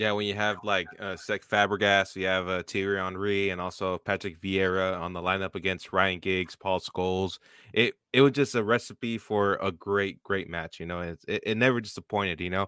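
Fairly low in pitch, a man speaks in an unremarkable speaking voice at a moderate pace with fairly even intonation and hardly any pauses. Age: 20s. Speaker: podcast host. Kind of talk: casual interview chat.

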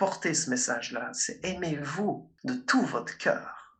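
In a raised, projected voice, a man with a high pitch speaks with lively intonation. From Belgium, Liège. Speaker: speaker and coach. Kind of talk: interview.

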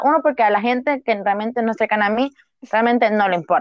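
Pitched fairly high, a woman with an unremarkable speaking voice talks with ordinary pitch variation. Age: 20s. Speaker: university student. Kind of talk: casual chat.

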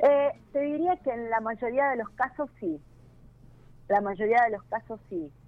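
At a fairly slow pace with long, frequent pauses, a woman talks in a Rioplatense accent at a fairly high pitch. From Buenos Aires, Argentina. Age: 40s. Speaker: mechanic and social media influencer. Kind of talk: interview. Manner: hesitant, many fillers and repetitions.

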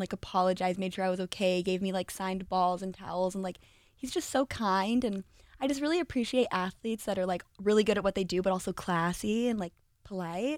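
Very fast and in an American accent, a woman speaks at a medium pitch. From Southern California. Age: 30s. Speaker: sports fan guest. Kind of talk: casual chat. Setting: studio.

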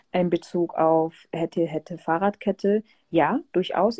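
Her voice is fairly low-pitched with a dark, mellow tone, and the woman keeps her intonation fairly even. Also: dry, close sound with no echo. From southern Germany, Pforzheim. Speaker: DJ and music producer. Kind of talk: casual interview.

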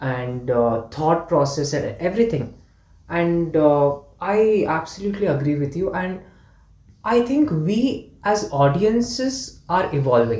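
The speaker talks at a fairly slow pace with a Kannada accent. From India, Karnataka. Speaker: podcast guest. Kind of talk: casual chat.

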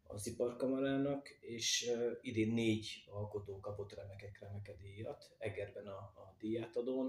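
A man speaks in a somewhat breathy voice at medium pitch. His pace is fairly slow and his intonation fairly even. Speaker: potter. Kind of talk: interview.

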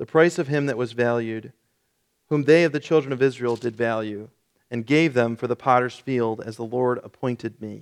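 In an ordinary speaking voice, a man talks at a moderate pace with medium pitch and fairly even intonation. The sound is dry and close with no echo, over a quiet background. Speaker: pastor. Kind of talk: sermon; scripture reading, solemn KJV passage read aloud in a church service. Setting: church. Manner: formal, somber.

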